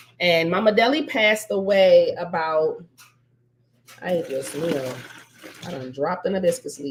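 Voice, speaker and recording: A woman with a fairly low pitch and lively intonation, at a moderate pace broken by long, frequent pauses. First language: Spanish. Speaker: spiritual healer. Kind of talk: casual cooking tutorial. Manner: chatty, rambling.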